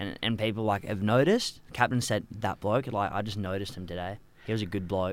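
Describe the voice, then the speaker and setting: A fairly low-pitched man with an Australian accent, fairly quick and fairly even in intonation, on a very clean recording with a silent background. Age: 20s. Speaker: cricket club podcast co-host. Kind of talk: casual chat.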